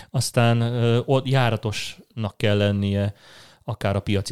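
In a dry, close sound with no echo, a man speaks with monotone, flat intonation. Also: very clean recording, silent background. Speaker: product manager. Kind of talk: interview. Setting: office.

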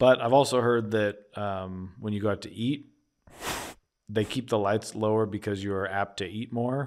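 A man with an American accent speaks in an unremarkable speaking voice, fairly low in pitch, with fairly even intonation at a moderate pace, on a very clean recording with a silent background. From Philadelphia, US. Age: 40s. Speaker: podcast co-host. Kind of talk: casual chat.

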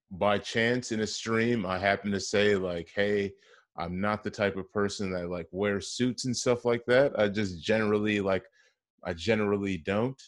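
With an unremarkable speaking voice, a man at a fairly low pitch talks at a moderate pace with fairly even intonation against a quiet background. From Wisconsin, Kenosha. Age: 30s. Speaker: podcast host. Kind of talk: interview.

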